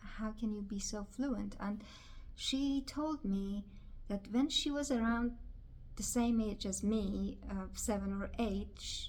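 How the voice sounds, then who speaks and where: A woman speaks very slowly in a fairly high, somewhat breathy voice. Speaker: video blogger. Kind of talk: personal vlog monologue. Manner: halting.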